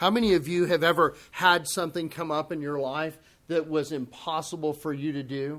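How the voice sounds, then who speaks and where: On a very clean recording with a silent background, the speaking goes at a moderate pace. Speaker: pastor. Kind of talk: sermon.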